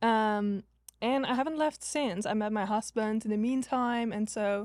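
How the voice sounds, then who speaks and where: On a very clean recording with a silent background, a woman speaks at a fairly slow pace with a fairly high pitch, fairly even intonation and very even loudness. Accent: Dutch. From Netherlands. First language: Dutch. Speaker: social media agency owner, former college tennis player. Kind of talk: podcast interview. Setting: live podcast recording.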